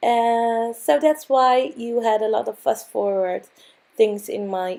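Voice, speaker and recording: A dark, mellow tone with lively intonation and a Dutch accent, at a very slow pace. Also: woman. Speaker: craft video creator. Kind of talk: tutorial. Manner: halting.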